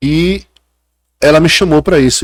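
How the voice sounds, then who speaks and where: In a very clean recording with a silent background, a man speaks. He has a strong northeastern Brazilian accent and lively intonation. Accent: northeastern Brazilian, kept strong. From Brazil, Paraíba (Northeast). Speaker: chef and food historian. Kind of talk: casual chat.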